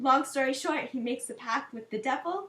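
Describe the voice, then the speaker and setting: A woman with a German accent speaks in a raised, projected voice. Her pitch is high and her tone bright and sharp. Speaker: language tutor. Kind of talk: educational talk. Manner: casual with frequent fillers.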